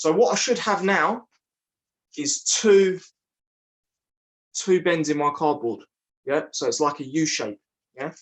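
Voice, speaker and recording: A man with a British accent talks at a fairly slow pace with long, frequent pauses. His pitch is fairly high and his intonation lively. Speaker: online family craft show host. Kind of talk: craft tutorial. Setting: livestream.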